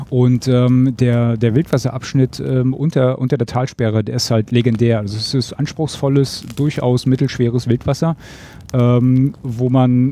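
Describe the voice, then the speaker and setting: A man speaks at a fairly slow pace with fairly even intonation. His tone is dark and mellow. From Mecklenburg-Western Pomerania. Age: 40s. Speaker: camper. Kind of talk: casual chat.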